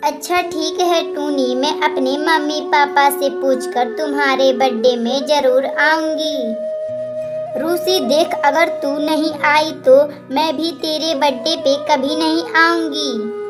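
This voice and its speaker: A cartoonish character voice, female-sounding and at a fairly slow pace, over loud music in the background. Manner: emotional.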